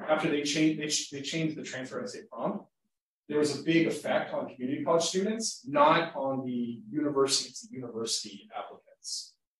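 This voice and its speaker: The voice is somewhat breathy and moves at a fairly quick pace. Its intonation is lively. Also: man, big swings in loudness. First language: Spanish. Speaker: lecturer. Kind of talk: lecture Q&A. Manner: casual, halting with repetitions.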